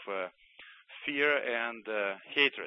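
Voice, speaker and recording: A man with a Russian accent at a fairly slow pace, with ordinary pitch variation. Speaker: former Soviet army doctor and author. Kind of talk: radio interview.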